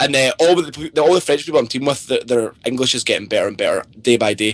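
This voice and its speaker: A very fast man in a strong Scottish accent, fairly high in pitch with ordinary pitch variation. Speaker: pro video game player. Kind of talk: podcast interview.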